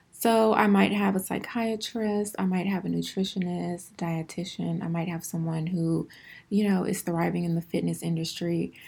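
Her pitch sits in the medium range with ordinary pitch variation. This woman sounds somewhat breathy. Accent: American. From Houston, Texas. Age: 20s. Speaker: podcaster and acne clinic owner. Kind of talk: casual solo monologue.

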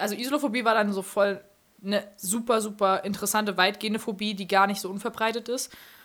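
The recording is very clean, with a silent background. A woman speaks in a flat monotone at medium pitch. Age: 20s. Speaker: social media influencer. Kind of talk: casual chat. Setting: studio.

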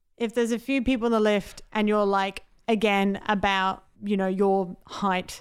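With an Australian accent, a woman speaks at medium pitch and a moderate pace, her intonation monotone and flat. Her loudness stays very even, and the recording is very clean with a silent background. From South Australia, Adelaide. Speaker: podcast co-host, comedian. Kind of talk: casual chat. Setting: office.

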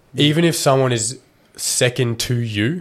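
A man is speaking. He has an Australian accent. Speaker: podcast host. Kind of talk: casual interview chat. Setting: studio, video recorded. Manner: casual, swears often.

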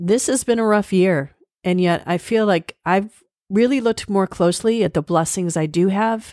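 An ordinary speaking voice, a woman with an American accent talks at a moderate pace and medium pitch with ordinary pitch variation, the sound dry and close with no echo on a very clean recording with a silent background. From USA. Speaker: podcast host. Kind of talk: scripted narration; casual chat. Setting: in person.

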